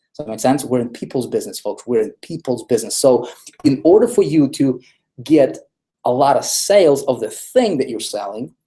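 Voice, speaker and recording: The pace here is fairly quick. A non-native accent is present. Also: man. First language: not English. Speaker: online marketing trainer. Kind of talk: live webinar lecture. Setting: live video hangout. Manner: animated.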